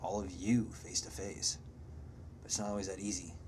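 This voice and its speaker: A man's fairly low voice with vocal fry. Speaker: video blogger. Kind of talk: casual monologue to camera. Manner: animated.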